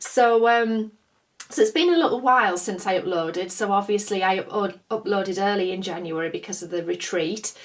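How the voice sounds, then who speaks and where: Speaking at a moderate pace with a northern English accent, a woman uses a medium pitch and ordinary pitch variation. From northern England. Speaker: craft vlogger. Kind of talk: casual chat.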